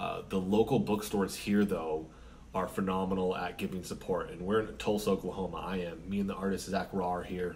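A man speaks at a fairly quick pace in a very deep, low voice. His intonation is flat and monotone, with light background noise. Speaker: independent comic author. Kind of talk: casual vlog chat. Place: home room. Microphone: camera far.

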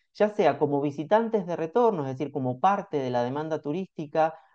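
Against a quiet background, a man talks with a Rioplatense accent. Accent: Argentine Spanish (rioplatense). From Argentina. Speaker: researcher, report author; report author. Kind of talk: academic presentation. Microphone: video call.

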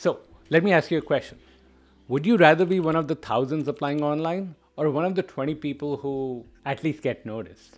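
The speaker goes at a fairly quick pace with ordinary pitch variation. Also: man, fairly high pitch for a man. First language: not English. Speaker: product management coach. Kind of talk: educational monologue video. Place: home room. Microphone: studio mic.

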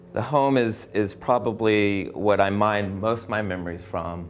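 An American accent over faint background music. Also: man. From Washington, D.C. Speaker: art student. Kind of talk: artist talk; artist talk to an audience. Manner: halting, many fillers. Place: hall.

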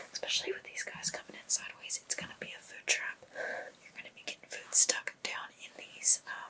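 A woman whispers at a fairly quick pace with hardly any pauses. Her loudness swings widely. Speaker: ASMR creator. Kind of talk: ASMR dental exam roleplay. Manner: whispered, soft-spoken.

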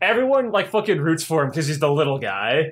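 A man with an American accent speaks at a very fast pace. His high voice makes very wide pitch swings. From United States. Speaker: podcast co-host. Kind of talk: casual chat.

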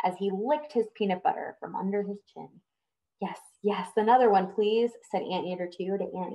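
It is a natural reading voice, set against a quiet background.

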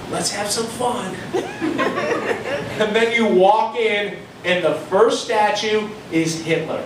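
A man speaks with audible room echo and noticeable background noise. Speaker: stand-up comedian. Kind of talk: stand-up comedy routine. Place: bar.

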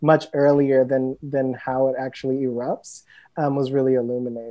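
With a quiet background, a man talks at a moderate pace. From US Midwest, Cleveland, Ohio; Ohio. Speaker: writer and editor; panelist. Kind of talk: panel discussion. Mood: thoughtful, reflective. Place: home room. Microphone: earbuds.

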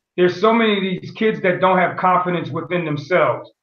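With an American accent, the speaker talks at a fairly quick pace against a quiet background, with audible room echo. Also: man. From US Northeast (Pennsylvania/Connecticut). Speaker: teacher and coach; interview guest, educator, coach. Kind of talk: interview. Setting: video call. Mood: warm, reflective. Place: home room. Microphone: video call.

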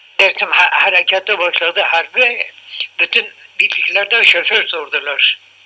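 A man's voice over noticeable background noise. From Urfa, southeastern Turkey. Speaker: war veteran, former army driver. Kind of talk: interview answer. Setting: home tape recording.

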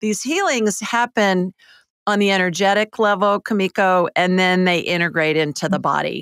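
A woman's voice at a moderate pace, with ordinary pitch variation and very even loudness, dry with no echo, in a quiet background. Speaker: psychic and medical intuitive radio host. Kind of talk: call-in show. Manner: animated. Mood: warm, soothing. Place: studio. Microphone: studio mic.

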